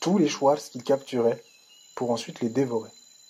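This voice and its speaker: The man talks at a medium pitch with ordinary variation in it. Background noise is noticeable throughout. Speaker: voice-over narrator. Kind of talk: myth storytelling narration.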